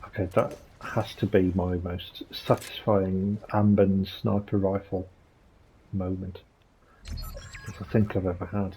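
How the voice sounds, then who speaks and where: A soft-spoken man talks at a fairly slow pace with long, frequent pauses. His fairly low voice stays monotone and flat. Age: 40s. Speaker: gaming video creator. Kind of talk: casual gameplay commentary.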